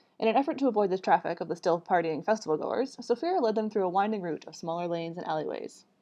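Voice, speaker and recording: At a very fast pace, a woman barely pauses at all. Her pitch is medium and her intonation lively. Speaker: author reading own book. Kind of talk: reading aloud. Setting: livestream.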